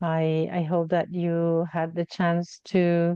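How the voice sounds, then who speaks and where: A woman with a Spanish accent, fairly low in pitch, dark and mellow in tone, in a dry, close sound with no echo. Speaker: online event facilitator. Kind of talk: event facilitation. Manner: halting.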